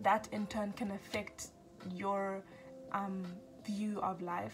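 Faint music plays in the background. Over it, a woman speaks with monotone, flat intonation. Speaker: self-help vlogger. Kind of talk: casual vlog chat. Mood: earnest, encouraging. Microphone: phone near.

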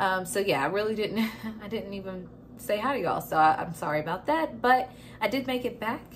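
A woman talks at a moderate pace and medium pitch. Her pitch variation is ordinary.

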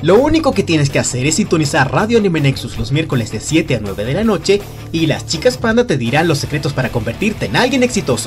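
The speaker has an upbeat tone and a fairly quick pace. Music plays in the background. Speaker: voice actor. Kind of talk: parody radio commercial read. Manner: upbeat, salesy.

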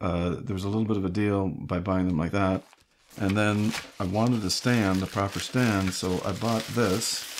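A man speaking at a fairly slow pace over noticeable background noise. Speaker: hobbyist reviewer. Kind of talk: casual unboxing talk. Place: home room.

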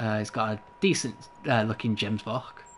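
Speaking at a moderate pace, a man with an English accent has a medium pitch. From England. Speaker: gaming livestreamer. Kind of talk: live gameplay commentary and chat with viewers. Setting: indoors, home livestream. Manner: laughs often, hesitant with many fillers.

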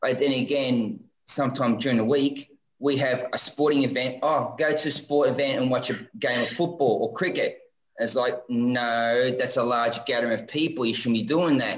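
Speaking with an Australian accent, a man with a medium pitch keeps a fairly quick pace, fairly even intonation and very even loudness against a quiet background. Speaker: viewer calling in; guest. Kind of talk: casual chat. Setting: video call. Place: home room.

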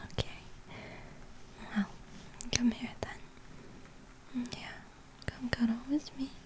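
A woman is whispering. Her pace is very slow. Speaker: ASMR roleplay performer. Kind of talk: ASMR girlfriend roleplay. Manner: whispered, soft-spoken. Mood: tender, soothing. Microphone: studio mic.

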